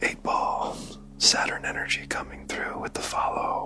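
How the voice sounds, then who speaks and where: Whispering in a calm tone at a moderate pace, a man speaks over noticeable background noise. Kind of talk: ASMR livestream storytelling. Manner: soft-spoken, calm, guiding.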